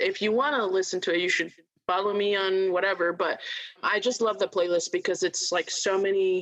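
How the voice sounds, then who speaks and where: A woman speaks at a moderate pace, her medium pitch moving with ordinary variation. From Port Chester, Westchester, New York, Dominican family. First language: Spanish. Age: 20s. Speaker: nonprofit worker and activist. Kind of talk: podcast interview, personal storytelling.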